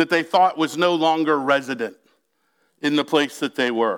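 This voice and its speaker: In a very clean recording with a silent background, a man uses a raised, projected voice. His tone is animated, bright and sharp. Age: 40s. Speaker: pastor. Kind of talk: sermon.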